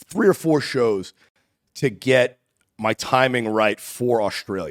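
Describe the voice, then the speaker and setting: Recorded with a dry, close sound and no echo, a man speaks at medium pitch in a New York accent. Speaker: comedian and podcast host. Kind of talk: casual chat. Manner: fast.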